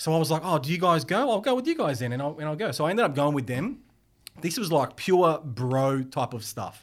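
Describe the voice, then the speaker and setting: On a very clean recording with a silent background, a man with an unremarkable speaking voice talks at a fairly quick pace and fairly high pitch with lively intonation. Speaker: graphic designer and fitness content creator. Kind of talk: casual chat.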